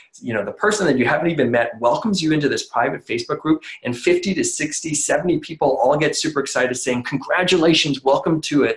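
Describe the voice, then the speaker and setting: Noticeable background noise surrounds a man who rattles along at a very fast pace. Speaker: online business founder. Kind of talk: sales webinar presentation. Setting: webinar. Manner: animated.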